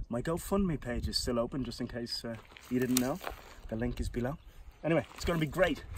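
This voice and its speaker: A man with an Irish accent, fairly quick pace, dry sound with no echo, and noticeable background noise. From Ireland. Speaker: comedian. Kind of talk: casual vlog. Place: open country. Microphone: camera far.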